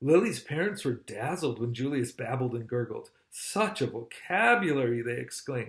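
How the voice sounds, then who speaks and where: A man talks at medium pitch, somewhat breathy. His intonation is lively. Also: moderate pace. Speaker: father of the channel owner, reading a children's book. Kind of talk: children's picture book read-aloud. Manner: friendly, conversational, with asides and comments to the children.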